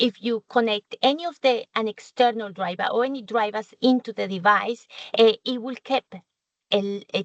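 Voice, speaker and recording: The sound is dry and close, with no echo. A woman with a fairly high pitch speaks at a moderate pace with ordinary pitch variation. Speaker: corporate software trainer. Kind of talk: webinar presentation. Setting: online webinar. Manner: hesitant, many fillers.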